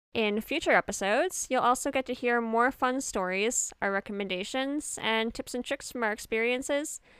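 In a Canadian accent, a woman speaks at a moderate pace with a high pitch and ordinary pitch variation, on a very clean recording with a silent background. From Edmonton, Canada. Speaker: podcast co-host, theater artist. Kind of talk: casual chat; scripted narration.

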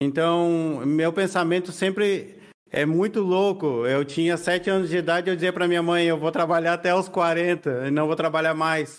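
A man speaks at a moderate pace in a high voice, his intonation fairly even, his loudness very even, with hardly any pauses. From Argentina. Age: 30s. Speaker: writer. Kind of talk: casual interview chat.

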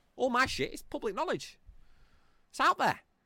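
With an animated tone, a man speaks in a bright, sharp voice touched by vocal fry, recorded very cleanly against a silent background with a dry, close sound and no echo. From England. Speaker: political commentary podcaster. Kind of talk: rant.

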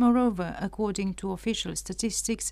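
A woman with a Romanian accent speaks at medium pitch in a dark, mellow tone with monotone, flat intonation. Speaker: radio presenter. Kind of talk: news report reading. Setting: studio.

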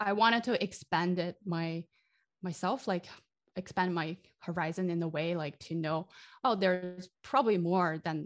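A woman with a Chinese accent speaks at a moderate pace in a fairly low pitch, with ordinary pitch variation. The background is quiet. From China. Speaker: game sound designer. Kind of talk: interview. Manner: halting.

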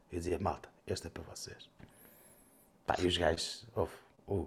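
A man speaks with a European Portuguese accent. The recording is very clean, with a silent background. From Portugal. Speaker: food and wine critic. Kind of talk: casual chat.

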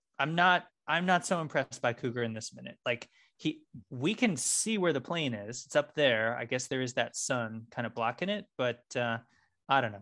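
Against a quiet background, a man speaks in an ordinary speaking voice at medium pitch and a moderate pace. His intonation is lively. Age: 40s. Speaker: podcast co-host. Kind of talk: casual chat.

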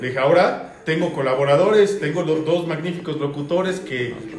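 Audible room echo, noticeable background noise, a moderate pace and ordinary pitch variation. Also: man. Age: 30s. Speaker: podcast host. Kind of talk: casual chat.

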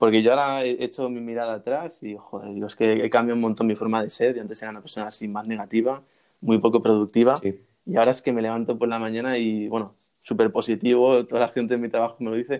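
A man's medium-pitched voice races along at a very fast pace, with fairly even intonation and big swings in loudness. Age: 20s. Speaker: university student and YouTuber. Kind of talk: interview.

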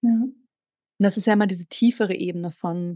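Dry and close with no echo, a woman's dark, mellow, somewhat breathy voice moves at a moderate pace with fairly even intonation. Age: 40s. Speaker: sex coach. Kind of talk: casual interview.

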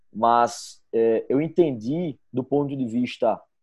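A man's medium-pitched voice, dark and mellow in tone, comes through over a quiet background. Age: 30s. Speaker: engineer and management consultant. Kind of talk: casual interview. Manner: halting, many repetitions.

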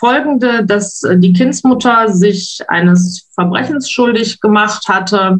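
A woman speaks very slowly in a somewhat breathy voice, her pitch varying in an ordinary way. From western Germany (Wuppertal). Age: 50s. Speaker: stepmother sharing her story. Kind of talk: interview, personal story.

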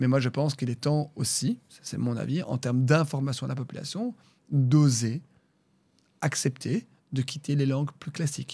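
On a very clean recording with a silent background, a man with a fairly high pitch and a dark, mellow, somewhat breathy tone talks at a moderate pace, leaving long, frequent pauses. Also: ordinary pitch variation. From Brussels, Belgium. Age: 30s. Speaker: regional politician. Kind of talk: interview. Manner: halting, many fillers.

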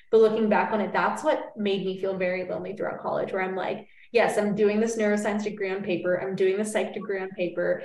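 The speaker talks at a very fast pace with fairly even intonation. Noticeable background noise is present. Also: woman, medium pitch for a woman, hardly any pauses. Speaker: podcast host. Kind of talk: casual interview chat.

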